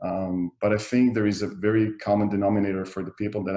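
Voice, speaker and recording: With an Israeli accent, a man talks at a fairly quick pace in a fairly low, dark, mellow voice with monotone, flat intonation. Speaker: real estate developer. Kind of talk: interview. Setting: video call.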